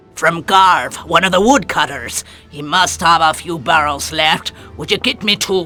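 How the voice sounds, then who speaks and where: A man uses a put-on character voice with a high pitch. His pitch varies in an ordinary way, with faint music in the background. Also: moderate pace. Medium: video game. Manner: brusque, folksy.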